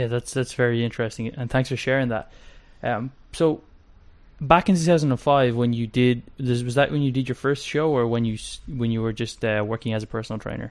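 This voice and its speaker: Using a plain, everyday voice, a man keeps his medium pitch on fairly even intonation. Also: fairly quick pace. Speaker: podcast host. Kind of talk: casual interview chat.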